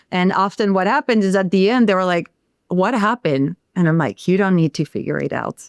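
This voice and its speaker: On a very clean recording with a silent background, a woman with a French accent speaks at a medium pitch with ordinary pitch variation. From France. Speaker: sound healer. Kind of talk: podcast interview.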